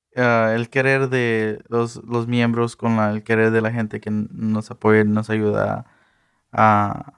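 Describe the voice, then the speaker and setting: His pitch is fairly low. The man talks at a fairly slow pace. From Texas, Eagle Pass. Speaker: mariachi ensemble director. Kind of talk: radio interview.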